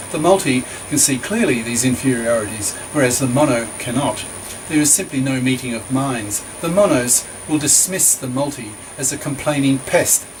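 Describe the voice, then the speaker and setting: A man at a medium pitch and moderate pace, with ordinary pitch variation and noticeable background noise. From Australia. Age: 70s. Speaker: author and retired professor. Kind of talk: reading aloud from own book with asides.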